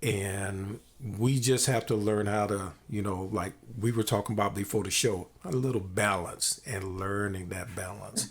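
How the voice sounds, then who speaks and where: Somewhat breathy and fairly low in pitch, a man speaks at a fairly slow pace. His intonation is fairly even. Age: 60s. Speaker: podcast host. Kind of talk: casual interview.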